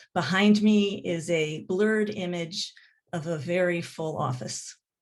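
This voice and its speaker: The pace here is fairly slow. It is a normal speaking voice, and its pitch varies in an ordinary way. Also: woman, fairly low pitch for a woman. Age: 60s. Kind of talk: panel introduction.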